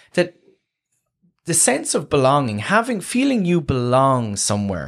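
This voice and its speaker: Moderate-paced speech in a Waterford accent with very wide pitch swings, on a very clean recording with a silent background. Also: man. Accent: Waterford Irish. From Ireland, County Waterford. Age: 30s. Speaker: housing academic. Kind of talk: casual chat.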